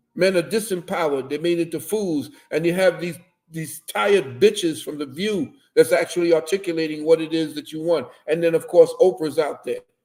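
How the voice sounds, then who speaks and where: A man talks at a fairly quick pace in a high pitch. His loudness swings widely. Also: ordinary pitch variation. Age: 70s. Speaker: lecturer on spiritual and social topics. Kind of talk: livestream interview. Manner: animated.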